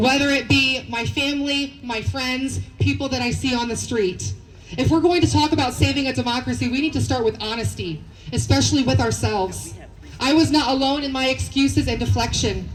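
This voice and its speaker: The woman's speech comes quickly, at a fairly quick pace, and audible room echo follows it. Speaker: rally speaker. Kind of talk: protest rally speech. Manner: loud, shouting.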